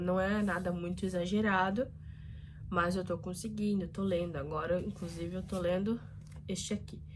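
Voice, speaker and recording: A woman at a moderate pace, with audible room echo. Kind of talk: casual vlog talk. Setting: bedroom.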